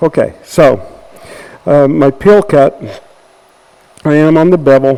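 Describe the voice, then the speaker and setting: A man speaks at a very slow pace. Noticeable background noise runs underneath. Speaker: woodturning demonstrator. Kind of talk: tutorial demonstration.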